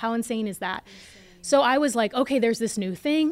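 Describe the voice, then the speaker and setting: A woman with a normal speaking voice talks at a fairly high pitch with ordinary pitch variation. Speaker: entrepreneur and investor. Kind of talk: interview.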